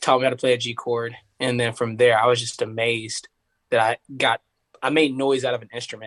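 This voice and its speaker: The speaker has an East Tennessee accent and talks at a fairly quick pace in a monotone, flat intonation. Loudness swings widely. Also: man, medium pitch for a man. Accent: East Tennessee Southern. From US South, Tennessee (Knoxville area). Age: 20s. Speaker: singer. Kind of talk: casual chat. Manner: casual, filler-heavy.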